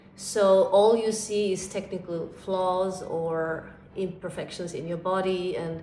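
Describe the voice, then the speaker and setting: Noticeable background noise and audible room echo surround a woman of medium pitch. She speaks very slowly in a flat monotone. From Austria, Vienna. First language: German. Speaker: ballet teacher. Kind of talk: interview answers. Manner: halting, with frequent fillers.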